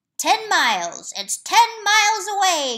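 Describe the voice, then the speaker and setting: A put-on character voice swings very widely in pitch at a fairly slow pace. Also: woman, extremely high pitch for a woman. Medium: read story. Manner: steady, soft, folksy.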